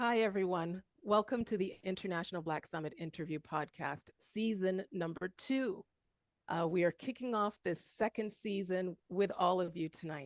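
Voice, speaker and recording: A woman with an unremarkable speaking voice talks at a medium pitch and moderate pace, with ordinary pitch variation. The sound is dry and close, with no echo. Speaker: podcast interviewer. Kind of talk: podcast introduction.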